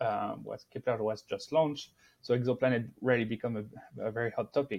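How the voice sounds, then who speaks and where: With a French accent, a man speaks at a medium pitch and with fairly even intonation. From France. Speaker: astrophysicist. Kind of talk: interview. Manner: halting.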